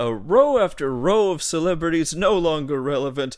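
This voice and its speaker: A man's fairly high-pitched voice with very wide pitch swings. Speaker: podcast host. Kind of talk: casual chat; comic carnival-barker spoof ad. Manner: animated, mock-huckster pitch.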